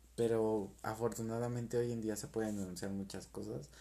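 With a Mexican accent, a man speaks at a fairly low pitch in a dark, mellow tone. His pace is fairly slow and his pitch variation ordinary. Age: 30s. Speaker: podcaster. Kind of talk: casual monologue.

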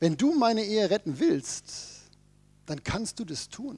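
Here a man talks at a fairly slow pace. His pitch is high. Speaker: pastor. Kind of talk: sermon. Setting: church service with congregation.

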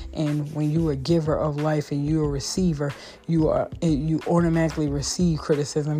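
A woman with a very deep, low pitch talks at a fairly quick pace in a monotone, flat intonation. Noticeable background noise runs behind her. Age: 40s. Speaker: podcast host. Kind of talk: solo podcast monologue.

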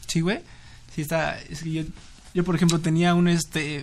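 In a Mexico City accent, a man speaks with a high pitch and flat, monotone intonation. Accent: Mexican Spanish (Mexico City). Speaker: podcast co-host. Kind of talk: casual chat.

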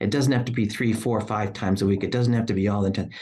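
A man is speaking. His pitch is fairly low and his intonation fairly even. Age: 60s. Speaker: podcast host. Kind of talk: interview chat.

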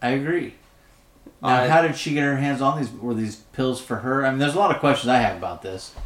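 Over noticeable background noise, a man talks at a very fast pace, his medium-pitched voice showing ordinary pitch variation. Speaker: podcast co-host. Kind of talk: casual chat. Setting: mostly empty room at a new farm property. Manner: loud. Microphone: echoey room.

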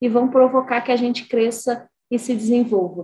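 A woman with a high pitch. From Brazil, Espírito Santo. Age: 30s. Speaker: engineer and port executive. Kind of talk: interview testimony.

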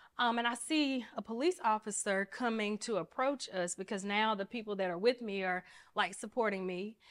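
A woman with an Alabama accent speaks at a moderate pace in a medium pitch, with ordinary pitch variation. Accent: Southern US, Alabama. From Mobile, Alabama (US South). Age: 30s. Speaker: attorney. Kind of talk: casual interview.

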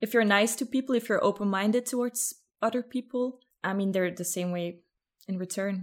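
With a Flemish accent, a woman talks at a fairly quick pace in a medium pitch with ordinary pitch variation. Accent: Flemish Dutch-accented English. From Belgium, Ghent. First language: Dutch. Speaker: podcaster. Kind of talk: casual chat. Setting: video call.

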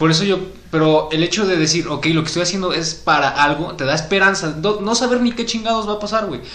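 A man with a Mexican accent at a very fast pace, high-pitched for a man with ordinary pitch variation, plus audible room echo and noticeable background noise. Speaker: podcast co-host. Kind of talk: casual chat.

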